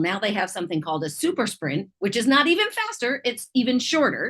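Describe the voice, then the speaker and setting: A loud woman's voice with an animated tone. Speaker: triathlon and swim coach. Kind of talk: interview.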